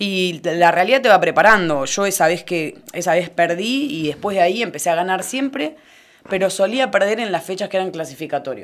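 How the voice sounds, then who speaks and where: In an ordinary speaking voice, a woman talks at a fairly quick pace, at a medium pitch with lively intonation. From Argentina, Necochea. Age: 30s. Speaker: lifesaving sport athlete. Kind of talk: interview.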